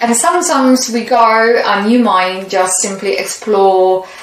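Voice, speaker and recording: A woman speaks with a non-native accent at a medium pitch and ordinary pitch variation. Audible room echo and noticeable background noise surround her voice. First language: not English. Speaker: tarot reader. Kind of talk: tarot reading. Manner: halting.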